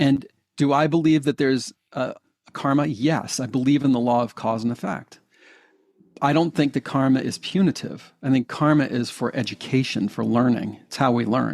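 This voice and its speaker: Speaking at a moderate pace, a man uses an ordinary speaking voice at medium pitch with ordinary pitch variation. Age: 60s. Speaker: hypnotherapist and life coach. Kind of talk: interview conversation.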